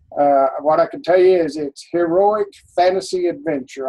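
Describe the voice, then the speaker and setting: A man is speaking. His pace is moderate. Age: 60s. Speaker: fantasy author, retired software developer. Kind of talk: casual interview chat. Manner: hesitant, many fillers.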